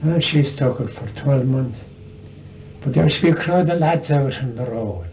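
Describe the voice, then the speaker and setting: A man with a Tipperary accent talks with lively intonation. Noticeable background noise and audible room echo surround him. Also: fairly high pitch for a man, moderate pace. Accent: Irish, Tipperary. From Ireland, County Tipperary. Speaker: storyteller. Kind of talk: casual chat.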